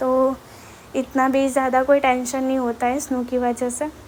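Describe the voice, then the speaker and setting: A woman speaks with a Gujarati accent. Her pitch is high and her intonation flat and monotone. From Gujarat, India. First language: Gujarati (speaking Hindi). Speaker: vlogger. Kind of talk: walking vlog tour. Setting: outdoors on street. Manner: casual, hesitant with fillers.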